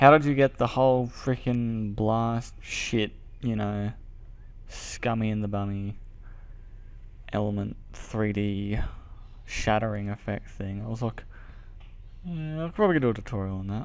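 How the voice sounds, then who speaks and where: At a fairly slow pace with long, frequent pauses, a man talks at medium pitch with ordinary pitch variation. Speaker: video editing tutorial maker. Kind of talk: casual screen-recording tutorial talk. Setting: cheap second-hand microphone. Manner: casual, rambling.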